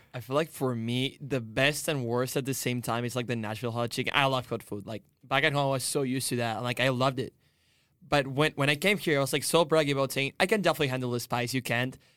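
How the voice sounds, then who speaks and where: On a very clean recording with a silent background, a man with a Spanish accent talks at a very fast pace, his medium pitch varying in an ordinary way. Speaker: international student. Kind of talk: roundtable discussion.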